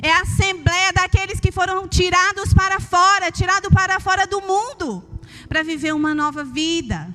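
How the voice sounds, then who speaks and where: A woman projects a raised voice at an extremely high pitch. She holds a moderate pace and fairly even intonation over noticeable background noise. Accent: Minas Gerais. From Brazil, Minas Gerais. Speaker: preacher. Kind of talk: sermon. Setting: church.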